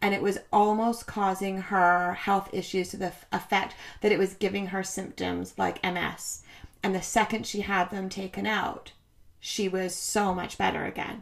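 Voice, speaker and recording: At a moderate pace and a medium pitch, a woman speaks with monotone, flat intonation. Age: 30s. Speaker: podcast co-host. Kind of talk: casual chat. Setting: studio.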